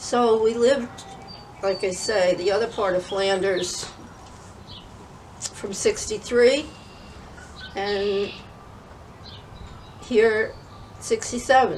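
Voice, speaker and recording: Over noticeable background noise, a woman with an American accent and fairly high pitch speaks at a very slow pace in fairly even intonation, with long, frequent pauses. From northern New Jersey. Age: 80s+. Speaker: grandmother interviewee. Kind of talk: interview.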